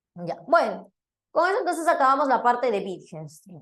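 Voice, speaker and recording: A woman is speaking. Room echo can be heard around her voice. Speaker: philosophy teacher. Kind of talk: lecture.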